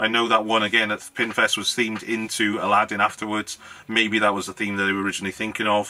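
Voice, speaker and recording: A man's very fast, monotone delivery with flat intonation. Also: fairly low pitch for a man. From Wales. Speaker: YouTuber, hobbyist maker; YouTuber. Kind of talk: casual vlog talk to camera. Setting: home garage. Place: home room.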